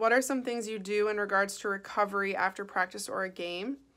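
Against a quiet background, a woman's bright, sharp tone holds fairly even intonation. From Chicago, US Midwest. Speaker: professional soccer player. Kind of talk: recorded Q&A answering questions. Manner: casual, many filler ums. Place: home room. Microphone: phone near.

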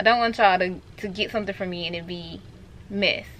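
A woman's moderate pace and fairly even intonation. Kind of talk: casual vlog chat. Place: home room. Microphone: camera far.

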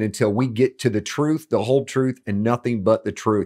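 With a quiet background, a man speaks at a moderate pace and shows ordinary pitch variation. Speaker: ministry teacher. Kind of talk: teaching intro to camera. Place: studio.

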